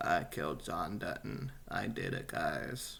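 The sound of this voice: Over clear background noise, a man puts on a raspy character voice and speaks at a fairly slow pace.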